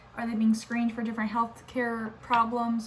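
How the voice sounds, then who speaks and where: Audible room echo hangs around speech delivered at a moderate pace. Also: woman. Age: 20s. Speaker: nursing student vlogger. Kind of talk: casual vlog. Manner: casual, filler-heavy.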